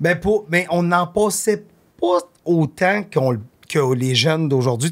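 With little behind him but a quiet background, a man is talking. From Quebec. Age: 50s. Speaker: artist manager and podcaster; podcast guest. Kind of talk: casual chat. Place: studio. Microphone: studio mic.

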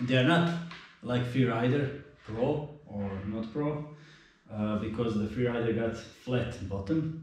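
A man speaks at a very slow pace with a Croatian accent and lively intonation. Strong echo fills the room. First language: not English. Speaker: mountain biker. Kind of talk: casual product review to camera. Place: garage.

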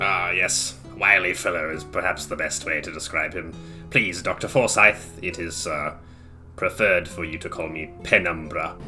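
A man puts on a character voice with a very deep, low pitch. Clear music plays in the background. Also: moderate pace. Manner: blank, aloof, formal.

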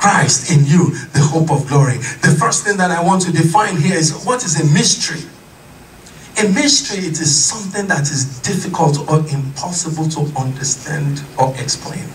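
A man's fairly high voice with ordinary pitch variation, amid audible room echo and light background noise. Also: moderate pace. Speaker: pastor. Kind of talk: sermon. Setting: church. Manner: impassioned, rhythmic repetition of refrains building to exclamations; call-and-response, urging congregation to shout amen. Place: church.

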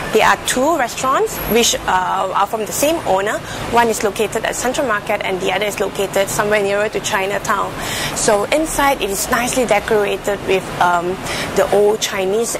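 A woman talks at a fairly quick pace with ordinary pitch variation. Noticeable background noise runs behind her. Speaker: food show host. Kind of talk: casual vlog chat. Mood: cheerful, smiling. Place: street. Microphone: lapel.

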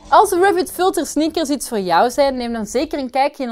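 This woman's voice is high-pitched, with very wide swings in pitch. She talks at a moderate pace. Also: quiet background. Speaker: presenter. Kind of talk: product review presentation. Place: studio.

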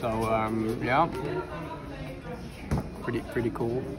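A man speaks slowly at medium pitch with little pitch movement. Clear music, clear crowd noise and audible room echo fill the background.

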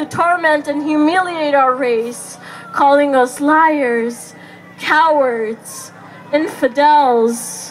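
Music plays in the background as a woman talks at a high pitch. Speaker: spoken word poet. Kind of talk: spoken word poetry performance. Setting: outdoors at a protest. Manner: impassioned. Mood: grieving, defiant, passionate. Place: stage. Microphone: camera far.

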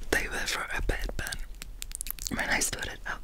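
A soft-spoken woman amid loud background noise. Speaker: ASMR creator. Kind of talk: soft ASMR chat. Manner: soft, close ASMR murmur.

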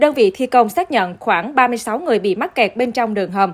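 An unremarkable speaking voice from a woman, fairly high in pitch, at a moderate pace. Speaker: news reader. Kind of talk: news reading.

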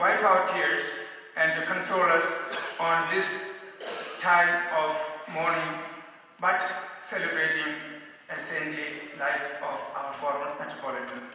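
Fairly high in pitch, a man talks at a fairly slow pace with fairly even intonation. Long, frequent pauses break up his speech, and the room echo is strong. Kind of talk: formal welcome address. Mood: solemn, respectful. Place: hall.

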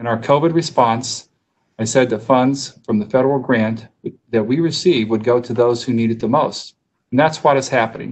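The delivery keeps a moderate pace and fairly even intonation. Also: man. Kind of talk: formal address at council meeting. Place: office. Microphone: video call.

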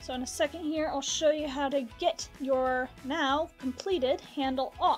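Faint music plays in the background as a woman with a high pitch speaks at a very slow pace. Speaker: pottery teacher. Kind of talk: tutorial. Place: workshop.

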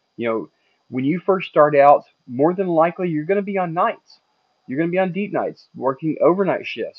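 Against a quiet background, a man talks in a high voice. The sound is dry, with no echo. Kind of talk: casual vlog advice.

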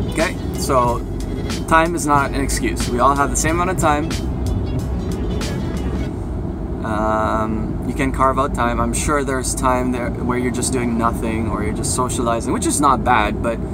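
Over music in the background, a man talks at a moderate pace with long, frequent pauses. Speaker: fitness trainer. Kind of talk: casual vlog chat. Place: car. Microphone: phone near.

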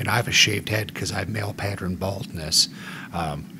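A man is speaking with ordinary pitch variation. There is noticeable background noise. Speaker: podcast host. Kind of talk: casual chat.

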